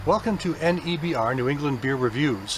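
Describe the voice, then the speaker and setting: Against noticeable background noise, a man talks at a fairly high pitch with ordinary variation. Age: 50s. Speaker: beer reviewer. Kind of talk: casual product review. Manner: relaxed, hesitant with many fillers.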